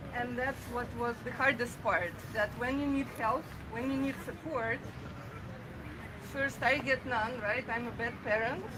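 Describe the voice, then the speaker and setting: Amid noticeable background noise, a woman with a high voice speaks in fairly even intonation, leaving long, frequent pauses. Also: fairly slow pace. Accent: Russian. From Russia. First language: Russian. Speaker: protester. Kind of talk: public speech. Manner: halting.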